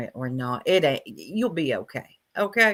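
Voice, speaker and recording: Very wide pitch swings mark this bright, sharp voice with a Southern US accent. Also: woman. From US South. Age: 40s. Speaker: YouTube commentary livestreamer. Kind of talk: livestream commentary chat. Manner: slow.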